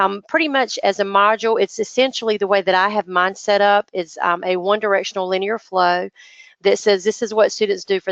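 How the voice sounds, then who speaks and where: A woman speaks with fairly even intonation in a dry, close sound with no echo. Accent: North Carolina. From North Carolina, US South. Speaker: business and marketing teacher. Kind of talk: online training webinar. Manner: halting, many fillers.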